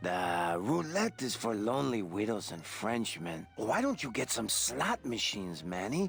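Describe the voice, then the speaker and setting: A man puts on a character voice at a medium pitch. He talks at a moderate pace over clear background noise. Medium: video game. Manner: fawning.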